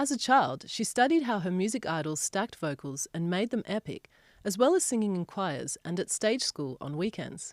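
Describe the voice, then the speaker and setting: Her pitch swings very widely as this woman speaks. The recording is very clean, with a silent background. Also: medium pitch for a woman, moderate pace. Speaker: podcast host. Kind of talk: podcast guest introduction narration.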